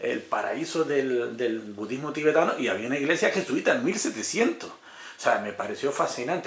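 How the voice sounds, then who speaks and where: Fairly quick male speech, with noticeable noise in the background and audible echo from the room. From Canary Islands, Gran Canaria. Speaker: YouTube interviewer. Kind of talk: interview. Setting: hotel.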